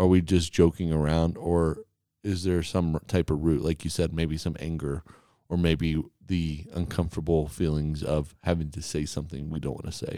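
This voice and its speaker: Very clean recording, silent background, of a man with a very deep, low pitch and a dark, mellow tone. He talks at a moderate pace with monotone, flat intonation. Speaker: podcast host and church staff member. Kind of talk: casual chat.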